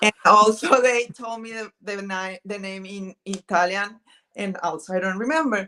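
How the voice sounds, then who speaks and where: A woman with a Spanish accent, medium in pitch, bright and sharp in tone, with big swings in loudness. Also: ordinary pitch variation, moderate pace, dry, close sound with no echo. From northern Mexico, Pacific area. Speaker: vintage thrifting video creator. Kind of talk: casual chat. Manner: halting, searching for words.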